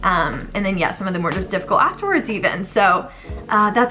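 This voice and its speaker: Music plays in the background as a woman talks at a fairly quick pace. Her tone is animated. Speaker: vlogger, bride-to-be. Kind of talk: casual vlog monologue. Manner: fast.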